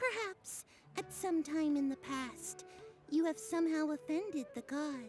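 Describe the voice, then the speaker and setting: A female-sounding put-on character voice reaches an extremely high pitch. It moves at a moderate pace over clear music in the background. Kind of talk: mock-archaic prophetic speech. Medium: video game. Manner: theatrical, self-important.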